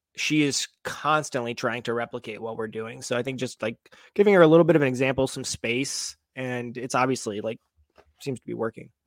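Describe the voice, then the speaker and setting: This man has a normal speaking voice with medium pitch and ordinary pitch variation. He speaks at a fairly quick pace with big swings in loudness, in a dry, close sound with no echo. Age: 30s. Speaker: movement coach and fitness content creator. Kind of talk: casual interview chat. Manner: calm.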